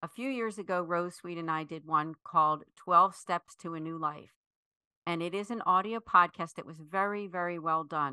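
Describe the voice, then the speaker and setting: With an American accent, a woman with a fairly low pitch and a bright, sharp tone speaks at a moderate pace, her intonation fairly even and the sound dry and close with no echo. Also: quiet background. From US Northeast, Philadelphia area. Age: 50s. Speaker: foundation executive director. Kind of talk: interview.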